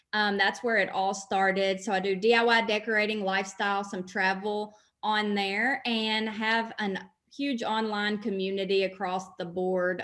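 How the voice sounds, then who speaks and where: In a Kentucky accent, a woman speaks at a fairly slow pace with monotone, flat intonation. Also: very clean recording, silent background. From Western Kentucky. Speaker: blogger and business coach. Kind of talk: podcast interview.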